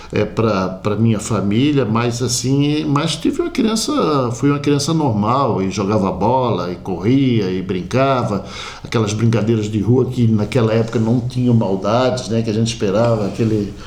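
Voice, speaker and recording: A man talks at a medium pitch and a moderate pace with hardly any pauses, very even loudness and ordinary pitch variation. The recording has audible room echo and noticeable background noise. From Florianópolis, southern Brazil. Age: 60s. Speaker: community sports figure. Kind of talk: interview.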